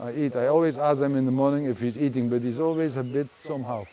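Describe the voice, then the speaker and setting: With a Dutch accent, a man of fairly high pitch speaks at a fairly quick pace over noticeable background noise. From Netherlands. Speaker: garden owner, fish farm project owner. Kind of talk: casual chat. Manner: halting.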